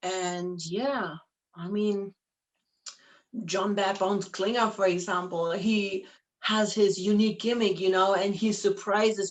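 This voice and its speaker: At medium pitch, a woman speaks at a fairly slow pace with monotone, flat intonation. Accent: German. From Germany. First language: German. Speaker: professional wrestler and wrestling promoter. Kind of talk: interview.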